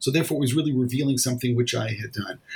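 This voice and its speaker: Somewhat breathy, a man at a medium pitch speaks with an American accent. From New York (Brooklyn). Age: 60s. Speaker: rabbi and author. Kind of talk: interview. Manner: halting.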